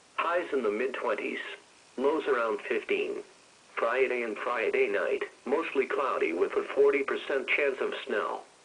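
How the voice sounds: A man speaks at a fairly slow pace with a medium pitch. His intonation is lively, and his tone is fairly bright.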